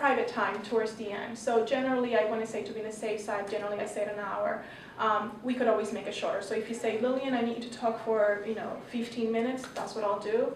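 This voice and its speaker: Delivered at a very fast pace with hardly any pauses, the speech comes in a Spanish accent with monotone, flat intonation, with audible room echo and noticeable background noise. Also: woman, fairly high pitch for a woman. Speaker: pharmacist and health educator. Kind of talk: panel presentation. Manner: halting, many fillers and repeats.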